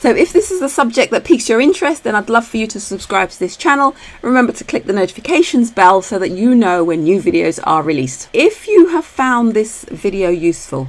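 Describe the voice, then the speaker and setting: With a British accent, a woman speaks fairly quickly and fairly high, with hardly any pauses, very wide pitch swings and big swings in loudness, over noticeable background noise. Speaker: retirement planning educator. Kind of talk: tutorial. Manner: fast.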